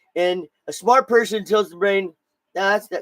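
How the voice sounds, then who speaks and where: Recorded with a dry, close sound and no echo, a man speaks in an animated tone at a high pitch. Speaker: podcast host. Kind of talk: casual chat. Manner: stuttering.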